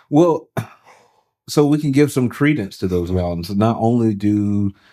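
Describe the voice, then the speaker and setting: A dark, mellow tone with lively intonation, at a fairly slow pace with long, frequent pauses, on a very clean recording with a silent background. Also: man. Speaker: pastor. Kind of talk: casual chat. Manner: precise, particular diction.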